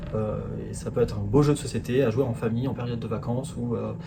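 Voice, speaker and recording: Amid audible room echo and noticeable background noise, a man speaks at a medium pitch and a fairly quick pace with fairly even intonation. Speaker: product presenter. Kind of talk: product presentation. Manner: halting, many fillers.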